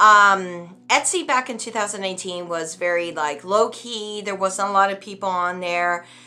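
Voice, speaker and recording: Music plays in the background as a woman speaks at a moderate pace. Her pitch is medium with ordinary variation. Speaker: witch selling spells online, video creator. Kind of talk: casual vlog rant. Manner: halting, many fillers and restarts.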